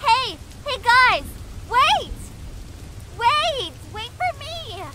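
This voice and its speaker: A woman puts on a character voice with an extremely high pitch, very slow pace, and lively intonation, over light background noise. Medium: machinima.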